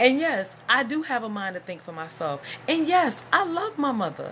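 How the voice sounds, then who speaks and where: Her tone animated, the woman lets her pitch swing very widely. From US South. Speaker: YouTuber and business owner. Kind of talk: casual vlog monologue.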